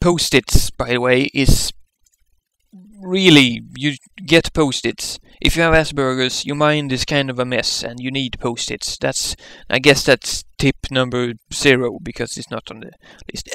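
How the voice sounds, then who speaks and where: A man with a non-native accent talks at a fairly slow pace and medium pitch, his bright, sharp tone showing ordinary pitch variation and big swings in loudness in a dry, close sound with no echo. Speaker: vlogger with Asperger's. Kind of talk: casual talk to camera.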